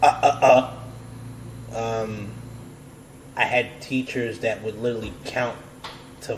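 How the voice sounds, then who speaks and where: This man speaks with an American accent at medium pitch. His pace is very slow. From United States. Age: 30s. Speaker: podcast host. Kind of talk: casual chat.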